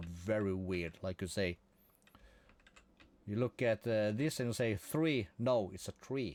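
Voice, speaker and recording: A man with a Norwegian accent, fairly low in pitch, relaxed in tone, at a fairly slow pace with ordinary pitch variation. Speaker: gaming streamer. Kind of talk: casual live-stream commentary.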